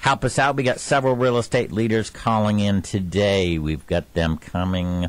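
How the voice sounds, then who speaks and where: A man with a plain, everyday voice, fairly low pitch and ordinary pitch variation, in a dry sound with no echo. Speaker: radio show host. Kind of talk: radio show introduction. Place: studio.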